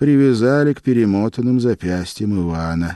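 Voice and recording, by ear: Someone reads the text aloud in a natural voice, using lively intonation.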